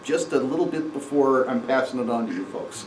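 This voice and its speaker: Noticeable background noise is present. The man's voice carries audible room echo. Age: 60s. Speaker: amateur astronomy presenter. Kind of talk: lecture. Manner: halting.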